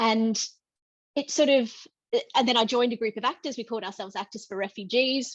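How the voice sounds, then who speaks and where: Over a quiet background, a woman with an Australian accent speaks fairly high with ordinary pitch variation, the sound dry and close with no echo. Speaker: theatre director. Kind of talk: panel discussion. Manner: halting.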